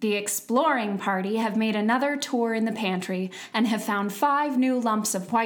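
A natural reading voice is what this recording offers.

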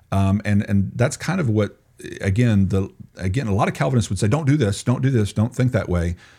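The voice is dark, mellow and somewhat breathy. It moves at a fairly quick pace with lively intonation. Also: man, fairly low pitch for a man. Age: 40s. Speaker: theology professor and evangelism director. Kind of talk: interview.

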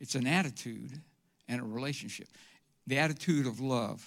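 A man in a Southern US accent at medium pitch and moderate pace, ordinary pitch variation, on a very clean recording with a silent background. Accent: Southern US (Georgia). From US South (Georgia, Atlanta area). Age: 70s. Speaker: church member giving testimony. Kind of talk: testimony. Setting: church stage with congregation. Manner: halting, with frequent uh.

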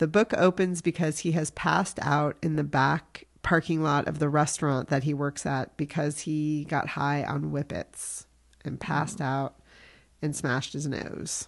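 A woman with an American accent speaks at a moderate pace in a very deep, low pitch, her intonation fairly even against a quiet background. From US Midwest. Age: middle-aged. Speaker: podcast host. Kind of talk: casual chat, author interview.

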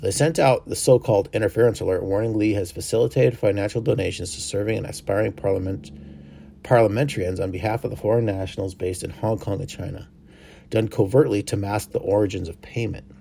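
A man talks very fast in a fairly low, somewhat breathy voice with a dark, mellow tone. His pitch variation is ordinary, and the recording is very clean with a silent background. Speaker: news podcast host. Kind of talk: news reading, scripted-sounding headlines with occasional ad-libbed asides. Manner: informal, self-correcting, laughs at own slips.

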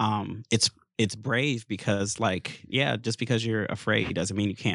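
With an American accent, a man in an ordinary speaking voice talks at a moderate pace, fairly low in pitch and with fairly even intonation, in a very clean recording with a silent background. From US. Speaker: church podcast co-host. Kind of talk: casual chat.

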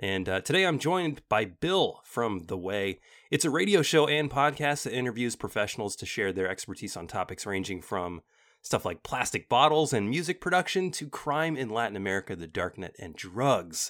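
The recording is very clean with a silent background. On it, a man at a moderate pace makes very wide pitch swings. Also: medium pitch for a man. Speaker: podcast host. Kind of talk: casual interview.

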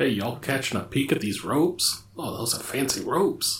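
A man is doing a put-on character voice. His pitch sits in the medium range. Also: moderate pace. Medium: actual play. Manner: friendly and folksy.

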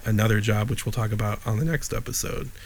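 A man with a Chicago accent speaks at a fairly quick pace and a fairly low pitch. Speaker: podcast co-host. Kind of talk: casual chat. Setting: video call. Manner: animated.

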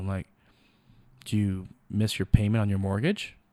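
In a very clean recording with a silent background, a man with a fairly low pitch talks at a moderate pace, the sound dry and close with no echo. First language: not English. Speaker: photographer and filmmaker. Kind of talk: interview.

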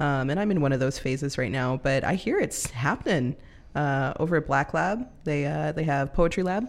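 A woman with an American accent and a very deep, low pitch, ordinary pitch variation, very even loudness and a moderate pace. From California. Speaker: poet and yarn business owner. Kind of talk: casual interview.

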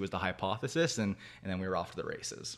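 A man with a Canadian accent at a very fast pace, in a very clean recording with a silent background. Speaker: whisky distillery founder. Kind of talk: casual chat.

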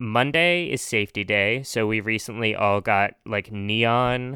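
A man's bright, sharp tone in a dry, close sound with no echo. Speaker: podcast host. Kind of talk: casual chat. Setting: remote recording. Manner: talkative, laughs often.

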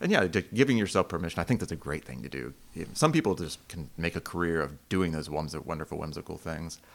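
Very fast speech with hardly any pauses, ordinary pitch variation, big swings in loudness and vocal fry. The recording is very clean with a silent background. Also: man, very deep, low pitch for a man. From Asheville area, North Carolina. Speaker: woodworking instructor. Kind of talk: casual interview.

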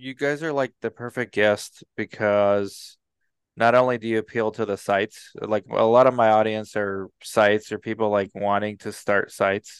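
Against a quiet background, a man talks at a moderate pace in an ordinary speaking voice with a fairly low pitch. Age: 40s. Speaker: podcast host and research site owner. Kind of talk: sponsor reads; casual interview chat.

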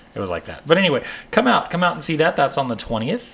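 A man speaks at a moderate pace while noticeable background noise runs throughout. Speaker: podcast co-host.

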